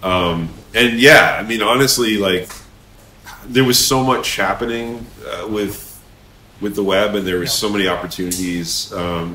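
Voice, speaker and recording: There is audible room echo and light background noise. A man speaks at a moderate pace in an American accent, with ordinary pitch variation. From Vermont, US. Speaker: web designer; guest. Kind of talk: interview. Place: office.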